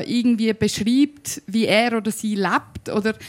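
A woman with a Zurich accent speaks at a fairly slow pace and fairly high pitch. The recording is very clean, its background silent. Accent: Zurich Swiss German. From Zurich, Switzerland. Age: 30s. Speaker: musician and spoken-word artist. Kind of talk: panel talk. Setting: live audience. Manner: hesitant with fillers.

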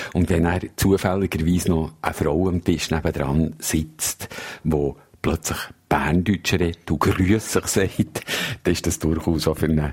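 A man with a very deep, low voice keeps fairly even intonation and a moderate pace. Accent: Swiss. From Switzerland. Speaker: foreign correspondent. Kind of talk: casual chat.

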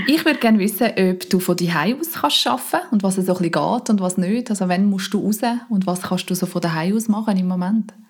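Noticeable background noise sits behind a woman speaking at a fairly quick pace. Her medium-pitched voice has lively intonation. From Dietikon, Limmatal, canton Zurich. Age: 30s. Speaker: mother, listener interviewer. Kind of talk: casual interview questions.

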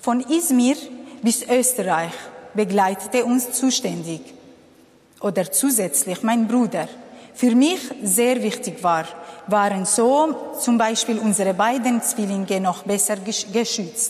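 Amid noticeable background noise, a woman with a Kurdish accent speaks very slowly at a fairly high pitch, her loudness very even and her pauses long and frequent. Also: ordinary pitch variation. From Syria. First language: Kurdish (speaking German). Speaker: refugee and social worker. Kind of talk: testimony.

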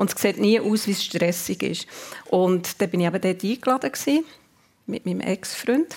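This woman has a normal speaking voice at a medium pitch. Her intonation is lively and her pace moderate. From Switzerland, Zurich then Bern. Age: 50s. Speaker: department store executive. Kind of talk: radio interview. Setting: live radio show before audience.

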